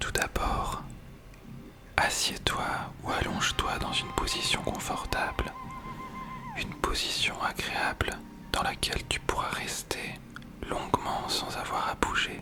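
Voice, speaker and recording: Whispering at a very slow pace, the speaker leaves long, frequent pauses against noticeable background noise. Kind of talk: guided meditation. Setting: headphones-oriented ASMR recording. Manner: whispered, soft-spoken, slow.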